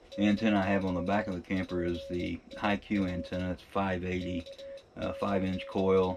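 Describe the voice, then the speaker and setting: With music playing behind, someone talks at a moderate pace. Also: man. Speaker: amateur radio operator. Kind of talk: casual vlog chat. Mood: relaxed, good-humoured. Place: home room. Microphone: camera far.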